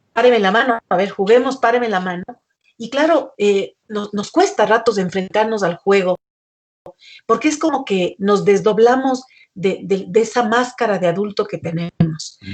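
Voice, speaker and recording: Normal speaking voice of a woman, pitched fairly high, at a fairly unhurried pace and with ordinary rise and fall. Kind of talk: casual conversation in a talk.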